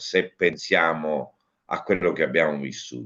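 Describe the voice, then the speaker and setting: This man's voice has a bright, sharp tone and vocal fry. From Ragusa, Sicily, Italy. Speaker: actor and cabaret comedian. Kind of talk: interview answer.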